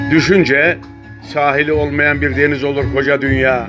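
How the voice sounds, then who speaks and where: Over music in the background, a man with a fairly high pitch speaks at a fairly slow pace. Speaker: poetry reader. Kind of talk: poetry reading.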